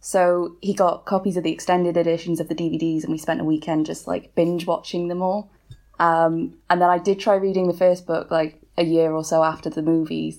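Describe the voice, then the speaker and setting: Speaking at a fairly quick pace with a British accent, a woman keeps a fairly low pitch and a monotone, flat intonation. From Wales. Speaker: author. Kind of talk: casual chat.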